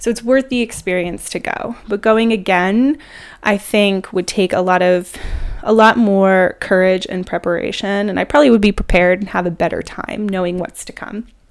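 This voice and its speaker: In an ordinary speaking voice, a woman with a medium pitch talks at a moderate pace with ordinary pitch variation. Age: 30s. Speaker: podcast host. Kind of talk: casual monologue. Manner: casual, filler-heavy.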